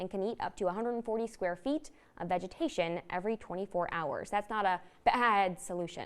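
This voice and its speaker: A woman with a normal speaking voice talks at a moderate pace, using lively intonation at a medium pitch. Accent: American. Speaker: evening news anchor. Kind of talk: television evening news anchor read.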